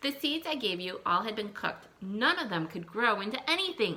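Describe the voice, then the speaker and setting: A female-sounding voice performs a put-on character voice at a fairly high pitch. The pace is moderate. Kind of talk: classroom read-aloud. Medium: read story.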